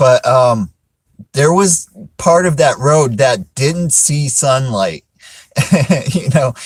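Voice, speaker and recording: With an American accent, a man speaks at a fairly slow pace in a fairly high, somewhat breathy voice with lively intonation. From South Florida. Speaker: live streamer. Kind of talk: casual live-stream chat. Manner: many fillers and hesitations.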